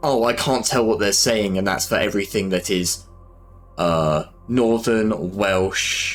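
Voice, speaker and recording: Over background music, a man speaks fairly slowly with fairly low pitch. His loudness stays very even and his pitch variation is ordinary. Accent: Southern British. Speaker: streamer, miniature painter. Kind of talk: casual live-stream chat. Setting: live stream while painting.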